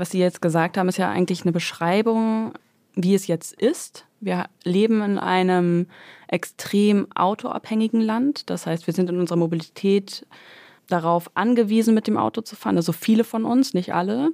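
A woman with a dark, mellow tone and ordinary pitch variation, in a dry, close sound with no echo on a very clean recording with a silent background. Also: medium pitch for a woman, moderate pace. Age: 30s. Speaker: environmental campaigner. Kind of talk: interview and studio debate.

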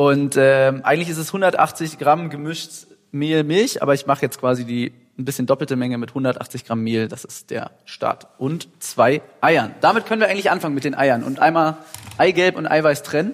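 A fairly high-pitched male voice speaks at a moderate pace. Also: ordinary pitch variation. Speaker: rock singer. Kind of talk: casual chat. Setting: recorded while cooking in a kitchen.

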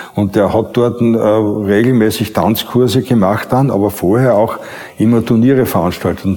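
Noticeable background noise sits behind a man speaking at a moderate pace and medium pitch. His intonation is fairly even and his loudness very even. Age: 70s. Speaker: former dancer. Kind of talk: interview testimony. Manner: halting.

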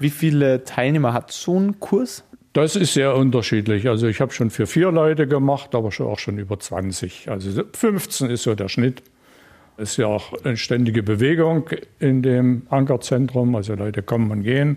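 A man's medium-pitched voice, dark and mellow in tone, at a moderate pace. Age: 60s. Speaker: retired IT worker, volunteer language mentor. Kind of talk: interview.

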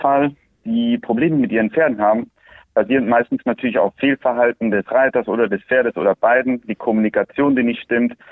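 A plain, everyday voice at a fairly quick pace with ordinary pitch variation. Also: man. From Andalusia, Spain (Swiss family). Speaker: horse trainer. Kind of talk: interview.

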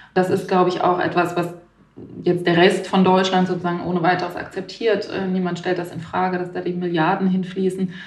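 Delivered at a fairly quick pace in a monotone, flat intonation, the speech carries audible room echo and noticeable background noise. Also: woman, medium pitch for a woman. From Baden-Württemberg, Germany. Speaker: newspaper journalist. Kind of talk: interview.

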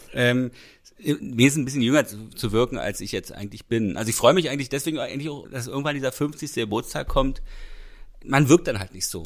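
Recorded very cleanly against a silent background, a man with an unremarkable speaking voice talks at a fairly quick pace and medium pitch, showing ordinary pitch variation and big swings in loudness. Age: 40s. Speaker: podcast co-host. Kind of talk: casual chat.

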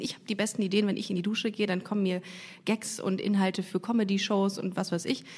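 This woman talks at a very fast pace in a medium-pitched, somewhat breathy voice with a dark, mellow tone. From Germany, Düsseldorf. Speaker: podcast host, comedian. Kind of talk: casual interview. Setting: studio. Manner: animated.

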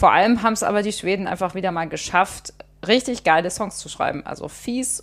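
The voice shows vocal fry along with ordinary pitch variation. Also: woman. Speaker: music journalist, podcast co-host. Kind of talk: casual chat.

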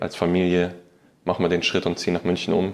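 Against a quiet background, a man talks very fast at a very deep, low pitch with monotone, flat intonation. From Saxony, Ore Mountains (Annaberg-Buchholz), later Munich. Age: 20s. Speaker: professional footballer. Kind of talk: interview. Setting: stadium room, in person. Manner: halting, many fillers.

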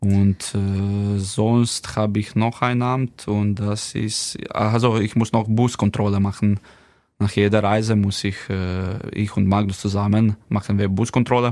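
Speaking very slowly in a monotone, flat intonation, a man with a Slovenian accent has a fairly low pitch, recorded over a quiet background. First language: Slovenian (speaking German). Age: 30s. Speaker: professional handball player. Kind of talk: casual interview. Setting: studio. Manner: halting, many fillers.

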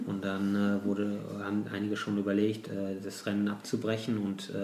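There is audible room echo as a man speaks at a moderate pace. His voice is fairly low, with a dark, mellow tone. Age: 40s. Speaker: bicycle courier and ultra-distance cyclist. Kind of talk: interview. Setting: at home.

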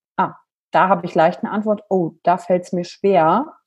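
With a normal speaking voice, a woman talks at a moderate pace, medium in pitch and fairly even in intonation. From western Germany, near Wuppertal. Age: 30s. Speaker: emotional intelligence coach. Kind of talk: podcast interview.

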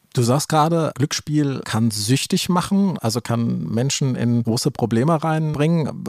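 Here is a man with an unremarkable speaking voice, fairly high in pitch and lively in intonation. The sound is dry and close, with no echo. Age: 50s. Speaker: podcast co-host, magazine editor. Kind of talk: casual chat.

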